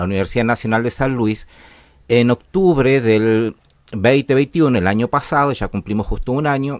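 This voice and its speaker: A man with a Chilean accent at medium pitch, moderate pace and ordinary pitch variation. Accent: Chilean accent, still noticeable. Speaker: university violence prevention coordinator. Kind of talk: radio interview. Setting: radio studio. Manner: hesitant, many fillers.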